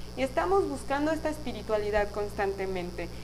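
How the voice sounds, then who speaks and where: Against noticeable background noise and audible room echo, a woman speaks at a fairly quick pace. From Mexico, Guadalajara, Jalisco. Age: 30s. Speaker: podcast host and spiritual guide. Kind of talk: spiritual talk on live podcast stream. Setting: live stream on video.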